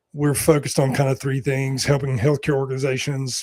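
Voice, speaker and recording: With a North Carolina accent, a man speaks at medium pitch. His intonation is monotone and flat. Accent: Southern US (North Carolina), self-described. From US South, North Carolina mountains and foothills. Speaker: executive search and leadership consultant. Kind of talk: panel interview.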